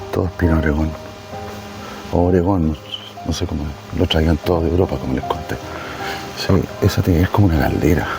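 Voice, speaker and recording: With music in the background, a soft-spoken man talks at a fairly quick pace with long, frequent pauses, his very deep, low voice kept to fairly even intonation. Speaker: travel vlogger. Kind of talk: walking tour vlog.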